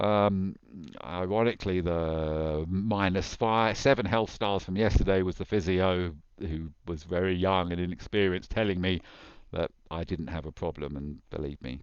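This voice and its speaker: The background is quiet as a man speaks at a moderate pace. His very deep, low voice has ordinary pitch variation. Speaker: tech entrepreneur. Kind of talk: unscripted screen walkthrough. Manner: halting.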